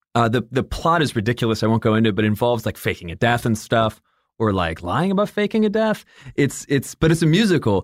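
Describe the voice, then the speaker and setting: In a very clean recording with a silent background, a man with a slight General American accent talks very fast at medium pitch, swinging his pitch very widely. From Michigan and Atlanta. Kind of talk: casual interview chat.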